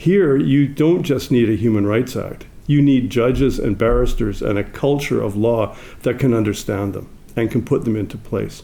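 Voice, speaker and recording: There is audible room echo as a man speaks with a Canadian accent. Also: medium pitch for a man, ordinary pitch variation, moderate pace. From Canada. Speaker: legal scholar. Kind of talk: conference talk. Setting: stage with audience.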